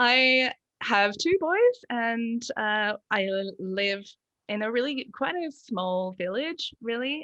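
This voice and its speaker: A woman's bright, sharp voice in an Australian accent, at a very slow pace. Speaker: lactation consultant. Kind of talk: casual interview.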